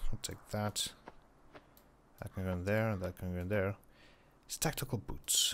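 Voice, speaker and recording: A man speaks quietly. His pitch is fairly low. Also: very clean recording, silent background. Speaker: gaming YouTuber. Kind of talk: gameplay commentary. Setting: at home late at night.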